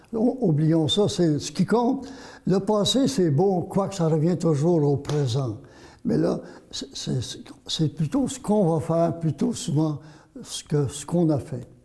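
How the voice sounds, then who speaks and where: A man speaks at a very slow pace in a high voice with a dark, mellow tone. His pitch swings very widely. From Quebec, Vaudreuil. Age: 80s+. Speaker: journalist and author. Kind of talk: interview. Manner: halting, repeats words.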